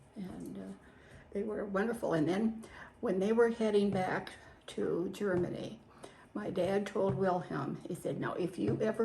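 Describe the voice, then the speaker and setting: A woman with an American accent speaks at medium pitch and a fairly slow pace, recorded with audible room echo and noticeable background noise. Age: 80s+. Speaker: WW2-era farm witness. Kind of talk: interview.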